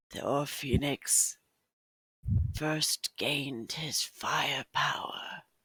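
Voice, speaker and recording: This is a put-on character voice at a low-to-middle pitch. It moves at a very slow pace. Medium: actual play. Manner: casual, friendly.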